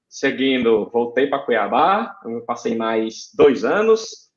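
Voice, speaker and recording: The speaker moves through very wide pitch swings at a very slow pace. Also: man. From Brazil, Ceará (Fortaleza). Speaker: aeronautical engineer. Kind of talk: podcast interview.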